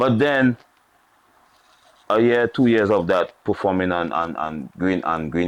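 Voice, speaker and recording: The speaker is a man with a Saint Lucian accent. His pitch variation is ordinary. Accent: Saint Lucian Creole English. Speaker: former soca artist. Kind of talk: interview.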